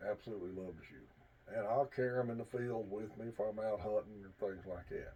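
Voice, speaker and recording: Somewhat breathy, a man speaks at medium pitch with ordinary pitch variation and a dark, mellow tone. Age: 60s. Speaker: hunting and firearms vlogger, army veteran. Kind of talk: casual instructional talk to camera.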